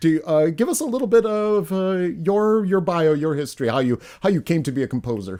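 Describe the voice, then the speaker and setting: Speaking fairly quickly with an American accent, a man uses a high pitch and very wide pitch swings in a dark, mellow tone. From United States. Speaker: choir director and show host. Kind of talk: interview. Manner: halting, many fillers.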